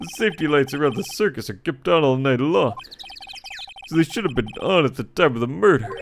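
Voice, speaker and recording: A man uses a put-on character voice at a fairly high pitch. He speaks at a fairly quick pace. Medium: game stream. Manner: earnest, bumbling.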